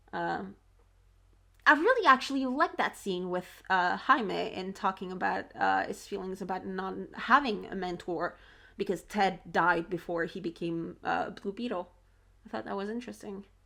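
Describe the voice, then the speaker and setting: Moderate pace, big swings in loudness, and a very clean recording over a silent background. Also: woman. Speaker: video reaction creator. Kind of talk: casual video commentary. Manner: halting, many fillers and restarts.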